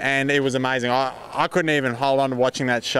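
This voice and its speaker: With an Australian accent, a man talks at a fairly quick pace. His intonation is monotone and flat. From Western Australia. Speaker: horse trainer. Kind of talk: casual interview. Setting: horse expo event, Canada.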